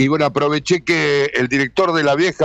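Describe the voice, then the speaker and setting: Recorded dry and close with no echo, a man with a Rioplatense accent speaks at a moderate pace, his pitch fairly high and his intonation fairly even. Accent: Argentine Rioplatense Spanish. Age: 80s+. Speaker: retired sports commentator. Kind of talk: radio interview. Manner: halting.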